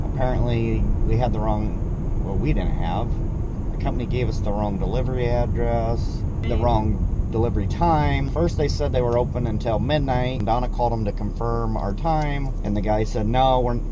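Loud background noise surrounds a man who talks at a moderate speed, his sound dry with no echo. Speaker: truck driver vlogger. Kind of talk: casual vlog chat. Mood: relaxed, joking. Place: car. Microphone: phone near.

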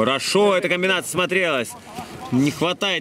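Against noticeable background noise, a man speaks at a moderate pace. His voice is fairly high, with ordinary pitch variation. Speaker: football commentator. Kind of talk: live commentary. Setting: outdoors.

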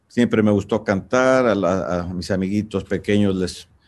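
Ordinary pitch variation and a moderate pace from a man with a fairly low pitch. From Michoacán, Mexico. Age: 60s. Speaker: singer-songwriter. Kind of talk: interview answer. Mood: warm, reflective, nostalgic. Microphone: video call.

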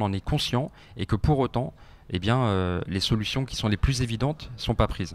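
This man's intonation is lively. He keeps a moderate pace. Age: 30s. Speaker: politician, party spokesperson; guest. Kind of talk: radio interview. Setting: radio studio. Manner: hesitant, many fillers. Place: studio. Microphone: handheld.

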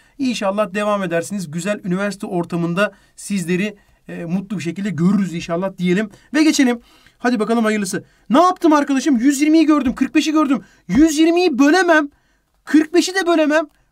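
A man speaks at a fairly quick pace in a high voice. His pitch swings very widely and his tone is animated. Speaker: math teacher. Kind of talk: lecture. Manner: fast.

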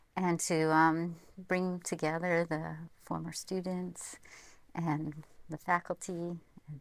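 A woman's fairly low-pitched voice, monotone and flat in intonation, in a dry recording with no echo. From American, from Vermont. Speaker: university provost and civil engineering academic. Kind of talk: interview answer. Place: studio. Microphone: lapel.

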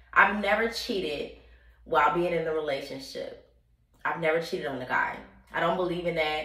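A woman's fairly low voice with ordinary pitch variation and audible room echo. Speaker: vlogger. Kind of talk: casual vlog chat. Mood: candid, playful. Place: bathroom. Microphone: phone near.

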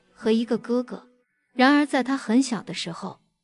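The woman's pitch is high. She keeps a moderate pace. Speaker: entertainment video narrator. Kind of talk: scripted narration.

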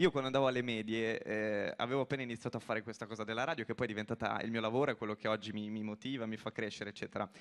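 Against a quiet background, a man talks very fast with fairly even intonation. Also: hardly any pauses. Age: 20s. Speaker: radio presenter. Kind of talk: stage interview. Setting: stage with audience. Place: stage. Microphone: handheld.

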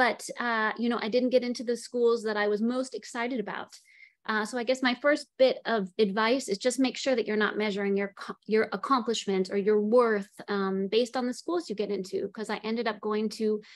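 Against a quiet background, a woman talks at a fairly quick pace with fairly even intonation. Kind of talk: career talk presentation. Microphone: video call.

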